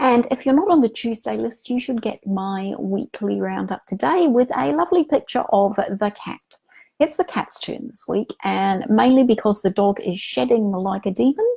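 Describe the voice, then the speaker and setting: A woman's somewhat breathy voice with very wide pitch swings, at a moderate pace. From Manchester, England, then New Zealand. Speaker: romance novelist and vlogger. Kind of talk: casual vlog chat.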